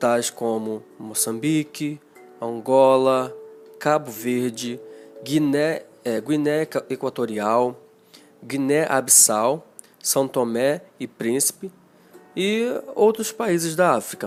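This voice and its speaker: With music in the background, a man speaks at a very slow pace with lively intonation and long, frequent pauses. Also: medium pitch for a man. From Rio de Janeiro, Brazil. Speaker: Portuguese language teacher. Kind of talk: educational podcast talk. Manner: casual, conversational.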